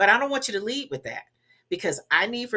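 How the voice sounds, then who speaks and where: Her tone bright and sharp, a woman talks in an American accent. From US South. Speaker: public speaking professor and former television personality. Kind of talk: interview advice talk. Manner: measured, with fillers and repeats.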